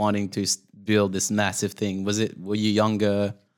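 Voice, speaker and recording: Speaking at a fairly slow pace, a man with a Quebec accent uses a fairly low pitch. The recording is very clean and the background silent. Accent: Québécois French-accented English. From Quebec, Canada. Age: 30s. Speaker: podcast co-host. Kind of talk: casual chat.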